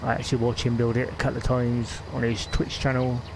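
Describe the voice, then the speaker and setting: A man talks in a strong West Country accent. Audible room echo and noticeable background noise surround him. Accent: West Country, still strong. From West Country, England (Gloucestershire). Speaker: gaming streamer. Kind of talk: live gameplay stream chat. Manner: halting, many fillers.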